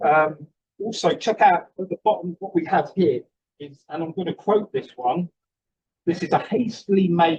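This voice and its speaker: A man's high voice in a Cockney accent at a moderate pace, with ordinary pitch variation, big swings in loudness and a dry, close sound with no echo. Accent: Cockney London English. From London (East End). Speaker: archivist and curator. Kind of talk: conference lecture.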